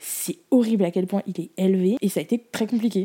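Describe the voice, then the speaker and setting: With an animated tone, a woman talks at a moderate pace using ordinary pitch variation. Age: 20s. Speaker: podcast host and student. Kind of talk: casual monologue.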